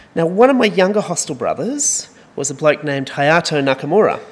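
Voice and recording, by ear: A man talks at a fairly quick pace in a fairly high pitch. His voice has a slightly husky edge and big pitch swings.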